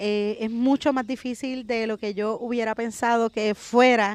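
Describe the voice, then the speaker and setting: A woman speaks with an unremarkable speaking voice at a moderate pace. Her pitch is fairly high and her intonation fairly even. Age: 40s. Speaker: comedian. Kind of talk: casual chat. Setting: outdoors in a park.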